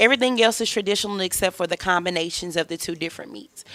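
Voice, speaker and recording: A woman with a Southern US accent speaks at medium pitch with ordinary pitch variation. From Mississippi. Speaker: chef. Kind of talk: casual interview.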